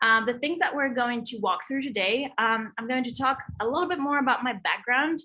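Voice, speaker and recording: A woman speaks with a slight non-native accent at a fairly quick pace. Her tone is bright and sharp, her pitch fairly high. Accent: European accent, slight. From Europe. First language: not English. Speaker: digital design and Web3 consultant. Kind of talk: presentation.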